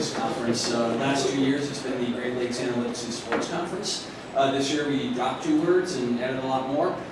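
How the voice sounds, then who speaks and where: The clip carries audible room echo along with loud background noise. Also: hardly any pauses. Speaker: conference organizer. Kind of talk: announcements. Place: hall. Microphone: pa.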